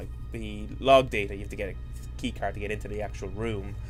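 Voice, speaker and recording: Music plays in the background, and audible room echo can be heard. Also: man. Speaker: video game let's player. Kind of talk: casual gameplay commentary. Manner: casual, with fillers and self-corrections.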